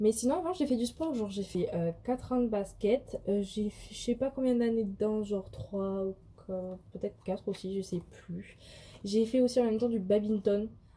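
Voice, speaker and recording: A woman with a southern French accent speaks at a moderate pace in a fairly high pitch. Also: ordinary pitch variation. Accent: southern French accent, noticeable. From southwestern France, countryside. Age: 20s. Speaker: vlogger and student. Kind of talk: casual vlog Q&A. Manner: hesitant, many fillers.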